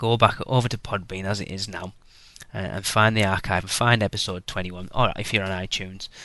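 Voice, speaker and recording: In a British accent, a man with a fairly low pitch and a bright, sharp tone talks at a moderate pace against a quiet background. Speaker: podcast host. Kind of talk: podcast intro monologue. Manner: rambling, many fillers.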